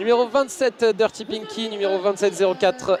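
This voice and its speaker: The man's voice is high, with ordinary pitch variation. He talks at a fairly quick pace amid noticeable background noise. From France. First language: French. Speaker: sports commentator. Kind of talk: live commentary. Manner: halting, with many fillers.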